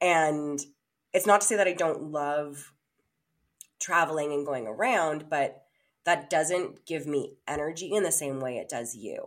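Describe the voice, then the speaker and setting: A woman with a Canadian accent speaks in a very deep, low pitch with ordinary variation, on a very clean recording with a silent background. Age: 30s. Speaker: podcast co-host. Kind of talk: casual chat. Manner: talks little to save voice.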